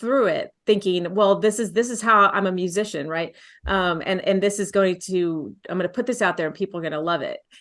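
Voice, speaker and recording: A woman with an American accent talks at a fairly quick pace in an ordinary speaking voice. Her pitch is medium with ordinary variation, against a quiet background. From Texas, San Antonio. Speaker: folk singer-songwriter. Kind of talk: casual interview chat.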